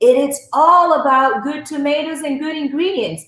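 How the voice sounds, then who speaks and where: A woman speaks with an Italian accent. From Italy. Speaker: cooking instructor. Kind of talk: cooking demonstration.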